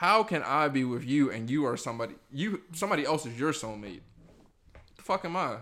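A man talks at a fairly quick pace in a fairly high, bright, sharp voice with lively intonation. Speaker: podcast host. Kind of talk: casual banter. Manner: casual, conversational.

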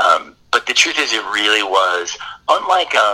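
Noticeable noise fills the background. Through it, a man's voice is heard. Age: 40s. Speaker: documentary filmmaker and musician. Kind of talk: casual interview. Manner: halting, many fillers.

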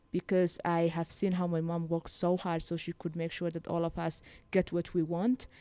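A woman with a Somali accent talks at a moderate pace in a fairly low, dark, mellow voice with monotone, flat intonation, on a very clean, dry, close recording with a silent background and no echo. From Somaliland. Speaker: social activist. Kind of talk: interview. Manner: halting.

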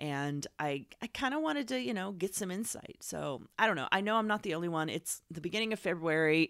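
This is a woman with an unremarkable speaking voice, fairly low in pitch, talking at a fairly quick pace with hardly any pauses. Her intonation is lively, and the recording is very clean with a silent background. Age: 30s. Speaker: podcast host. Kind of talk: casual interview chat.

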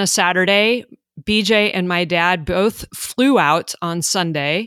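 An ordinary speaking voice with an American accent moves at a fairly slow pace with ordinary pitch variation. The recording is very clean with a silent background and a dry, close sound with no echo. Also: woman. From Iowa, US Midwest. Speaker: email marketing entrepreneur and military spouse. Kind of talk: podcast interview.

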